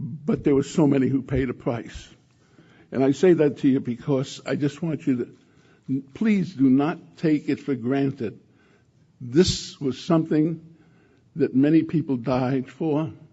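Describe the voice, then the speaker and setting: A man's somewhat breathy, fairly high voice with ordinary pitch variation, a fairly slow pace, and long, frequent pauses. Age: 80s. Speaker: former congressman and Korean War veteran. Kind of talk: speech. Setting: lunch event with audience. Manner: halting.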